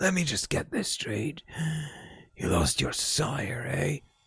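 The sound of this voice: In a raspy, put-on character voice, a man speaks fairly slowly at a medium pitch.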